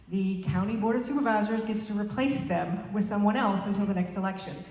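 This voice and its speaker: A woman of medium pitch speaks very fast in an American accent. Noticeable background noise and audible room echo fill the recording. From Arkansas. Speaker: political candidate. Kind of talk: rally speech. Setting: rally with audience.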